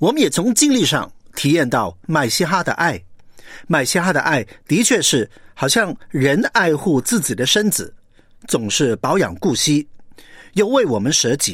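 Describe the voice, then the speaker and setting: A man speaks at a fairly slow pace with vocal fry and long, frequent pauses. His pitch swings very widely, and the recording is very clean with a silent background. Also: fairly high pitch for a man. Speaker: preacher. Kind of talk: sermon.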